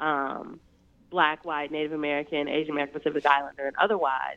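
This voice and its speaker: A woman talks at a very fast pace. Her pitch is very deep and low. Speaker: political commentator. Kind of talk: radio interview.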